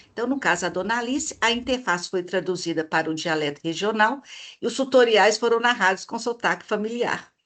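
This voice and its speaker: Against a quiet background, a woman with a Minas Gerais accent talks in a fairly high pitch with lively intonation. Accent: mineiro (Minas Gerais) Brazilian Portuguese. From Minas Gerais, Brazil. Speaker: researcher presenting her model. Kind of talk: online presentation / live stream. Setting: live video stream. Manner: hesitant fillers (eh, né).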